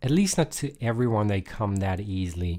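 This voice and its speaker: A man speaks with lively intonation. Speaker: guitar teacher. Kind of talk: live-streamed guitar tutorial. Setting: live stream. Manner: casual, hesitant with fillers; deliberately lower, louder voice.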